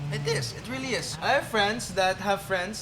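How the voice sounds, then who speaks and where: Speech at a moderate pace with ordinary pitch variation carries audible room echo and noticeable background noise. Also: man. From United Kingdom. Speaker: podcast co-host. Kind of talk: casual chat. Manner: code-switching Tagalog and English.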